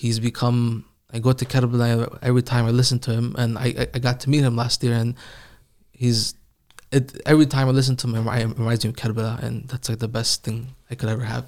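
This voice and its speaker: A man races along at a very fast pace, his medium pitch in monotone, flat intonation, in a very clean recording with a silent background. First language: Farsi. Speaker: Quran reciter. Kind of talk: casual interview.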